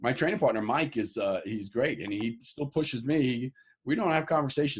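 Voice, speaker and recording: A man with a plain, everyday voice, medium pitch, ordinary pitch variation, an American accent and a moderate pace, on a very clean recording with a silent background. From New York (Harlem). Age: 60s. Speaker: bodybuilder and fitness trainer. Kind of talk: interview.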